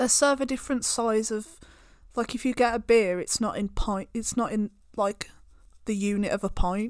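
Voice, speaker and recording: On a very clean recording with a silent background, a woman in a British accent speaks at a moderate pace with a fairly high pitch, a playful tone and fairly even intonation. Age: 20s. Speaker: podcast co-host. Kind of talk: casual chat. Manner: laughing, playful.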